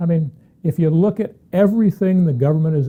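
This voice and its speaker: With a dark, mellow tone, a man speaks fairly quickly, somewhat breathy, his intonation lively. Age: 60s. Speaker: tax consultant. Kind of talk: opinion monologue. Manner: animated.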